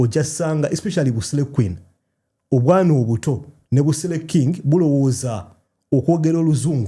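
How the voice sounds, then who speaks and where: At a very fast pace, a man with a Ugandan accent speaks at a fairly high pitch in a dark, mellow, somewhat breathy tone, with ordinary pitch variation and very even loudness. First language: Luganda. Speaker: video creator. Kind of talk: casual chat.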